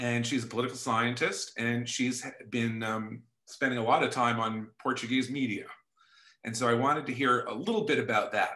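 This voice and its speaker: A man with an American accent speaks at a moderate pace in a medium pitch. His tone is bright and sharp, with flat, monotone intonation. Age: 40s. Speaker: podcast host. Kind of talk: casual interview. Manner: halting.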